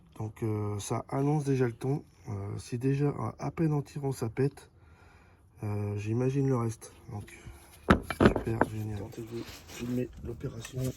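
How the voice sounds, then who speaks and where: With a dark, mellow tone, a man at medium pitch speaks fairly slowly and somewhat breathily, with fairly even intonation and long, frequent pauses. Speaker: amateur mechanic. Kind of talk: tutorial. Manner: halting.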